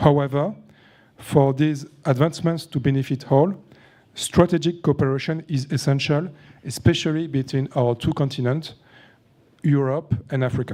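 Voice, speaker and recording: Long, frequent pauses break up speech at a moderate pace with fairly even intonation. The tone is dark and mellow, in a French accent. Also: man, fairly high pitch for a man. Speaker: panel moderator, entrepreneur and author. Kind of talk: moderating a conference panel. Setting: conference stage with audience. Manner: halting, many fillers.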